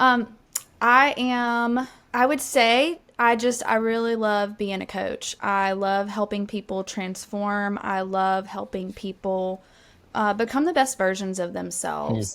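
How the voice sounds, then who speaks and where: A woman speaks at a fairly slow pace. She has a slight Southern US accent. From Alabama, US South. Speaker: sales coach. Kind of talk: interview podcast.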